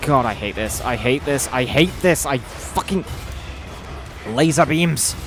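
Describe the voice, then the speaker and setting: Music plays in the background as a man speaks at a fairly slow pace with long, frequent pauses. His pitch is fairly high with ordinary variation. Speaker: gaming youtuber. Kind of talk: gameplay commentary. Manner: loud; animated.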